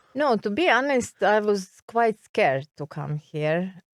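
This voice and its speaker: A woman speaks with a Serbian accent on a very clean recording with a silent background. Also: dry, close sound with no echo. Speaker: expat interviewee. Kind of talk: interview. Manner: halting.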